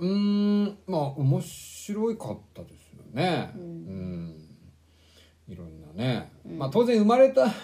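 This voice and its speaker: A man's high-pitched voice with big swings in loudness, very wide pitch swings, a fairly slow pace and long, frequent pauses. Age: 40s. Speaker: book podcast co-host. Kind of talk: casual chat. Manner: hesitant, many fillers.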